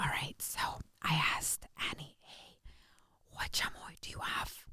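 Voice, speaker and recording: A woman is speaking. She whispers throughout. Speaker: podcast host. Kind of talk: casual chat. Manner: animated.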